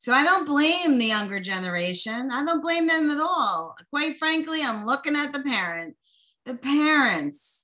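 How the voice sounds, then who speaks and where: A woman speaks in a raised, projected voice with a bright, sharp tone and a high pitch. Her pitch swings very widely at a fairly slow pace. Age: 50s. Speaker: podcast host and coach. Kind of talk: motivational monologue. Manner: animated.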